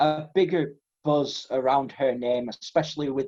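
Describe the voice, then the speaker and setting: A man's medium-pitched, dark, mellow voice with an English accent, a moderate pace and ordinary pitch variation. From England. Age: 20s. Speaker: podcast co-host. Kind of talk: casual chat.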